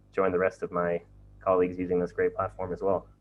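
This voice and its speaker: A man with an American accent. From USA. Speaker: webinar moderator. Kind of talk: live Q&A webinar.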